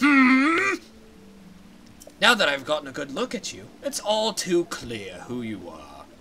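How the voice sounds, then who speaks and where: A man puts on a character voice pitched high. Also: fairly slow pace. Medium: game stream. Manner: stately.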